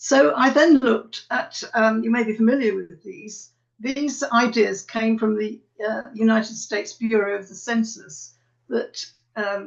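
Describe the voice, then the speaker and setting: Big swings in loudness mark this woman's voice, which has a British accent. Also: fairly high pitch for a woman, ordinary pitch variation, fairly slow pace. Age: 80s+. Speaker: retired academic. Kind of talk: webinar talk. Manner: halting.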